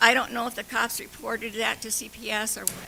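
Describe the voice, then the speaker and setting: Someone speaks at a fairly quick pace with noticeable background noise. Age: 70s. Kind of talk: public comment at council meeting. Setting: council meeting room. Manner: halting.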